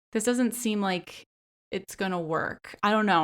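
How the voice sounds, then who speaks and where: A woman speaks in an American accent with an animated tone and ordinary pitch variation. The recording is very clean, with a silent background. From Philadelphia, US. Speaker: podcast host. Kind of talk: casual pop culture podcast monologue. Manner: animated, frequent filler words.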